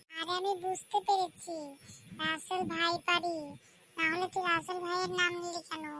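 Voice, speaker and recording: This cartoonish character voice is extremely high in pitch and monotone, with flat intonation. It moves at a moderate pace. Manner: excitable, questioning.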